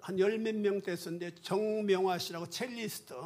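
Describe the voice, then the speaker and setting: A man speaks at a fairly slow pace in a high voice. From South Korea, rural village. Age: 70s. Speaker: retired pastor. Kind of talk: testimony.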